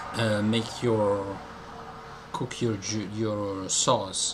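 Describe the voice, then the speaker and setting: A man speaks at a very slow pace and medium pitch in a flat monotone, with noticeable background noise. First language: Italian. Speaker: YouTuber. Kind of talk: casual monologue. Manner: halting, many fillers.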